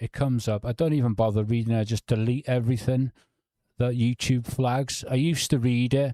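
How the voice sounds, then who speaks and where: Here a man talks at a medium pitch and moderate pace, his tone dark and mellow. The pitch variation is ordinary, and the sound is dry and close with no echo. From North Wales, near Liverpool. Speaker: true crime YouTuber. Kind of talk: livestream chat.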